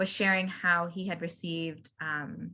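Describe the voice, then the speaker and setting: Speaking in an American accent, a woman has a bright, sharp tone and fairly even intonation. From Pakistan. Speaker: guest on a podcast about race. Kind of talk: casual interview conversation.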